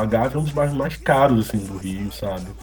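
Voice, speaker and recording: Music plays in the background as a man talks with a Rio de Janeiro accent. His pace is fairly quick and his intonation lively. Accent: Rio de Janeiro Portuguese (carioca). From Brazil, Rio de Janeiro. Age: 30s. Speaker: rapper and funk musician. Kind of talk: casual interview chat.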